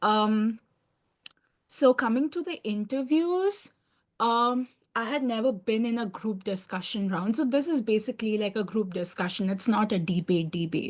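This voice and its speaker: A woman with a fairly high, somewhat breathy voice speaks at a moderate pace with lively intonation against a quiet background. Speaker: scholarship recipient sharing interview experience. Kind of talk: online webinar testimony.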